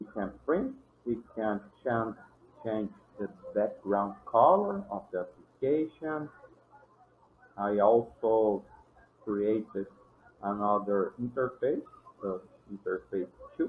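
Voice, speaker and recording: With a non-native accent, a man speaks at a very slow pace with long, frequent pauses. His pitch is medium, with ordinary variation. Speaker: programming tutorial creator. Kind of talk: tutorial. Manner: halting, with restarts.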